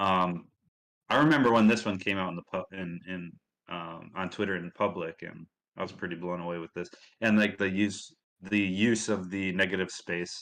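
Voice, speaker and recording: Against a quiet background, a man with a Midwestern accent speaks at a moderate pace in a fairly low voice with ordinary pitch variation. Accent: Midwest US. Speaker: community livestream host. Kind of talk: casual livestream chat.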